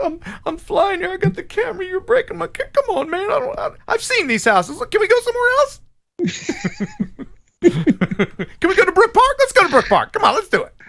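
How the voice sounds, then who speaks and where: A put-on character voice sits at an extremely high pitch with a whiny tone. It moves at a fairly quick pace. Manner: whiny, pleading.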